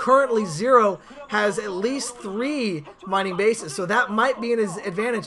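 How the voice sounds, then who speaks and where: Over noticeable background noise, a man with a high pitch talks in an animated tone with ordinary pitch variation. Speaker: esports commentator. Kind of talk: live commentary. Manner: fast.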